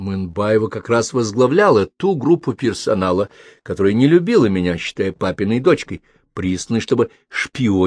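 In a natural reading voice, the words come through over a quiet background.

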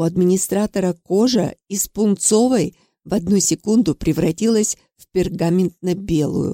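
Plain reading aloud with ordinary pitch variation comes over a quiet background.

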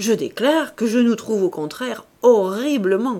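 The whole passage comes in a natural reading voice.

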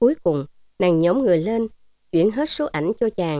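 A natural voice reading aloud, its intonation lively.

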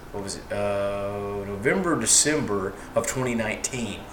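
A man talks against noticeable background noise. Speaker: podcast co-host. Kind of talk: casual chat. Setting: at home, recording at a table.

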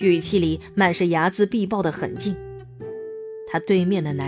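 The pitch rises and falls in an ordinary way. It is a natural reading voice.

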